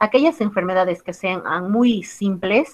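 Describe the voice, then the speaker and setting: This is a normal speaking voice. Its pitch varies in an ordinary way. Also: woman. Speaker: biostatistics teacher. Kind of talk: lecture.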